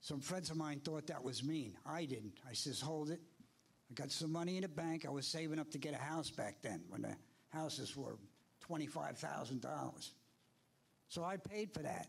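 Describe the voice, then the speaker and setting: At a moderate pace, a man with an American accent speaks in a fairly high, somewhat breathy voice, with ordinary pitch variation and very even loudness. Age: 70s. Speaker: public commenter, Navy veteran. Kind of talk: public comment at town board meeting. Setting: town board meeting hall. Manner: animated.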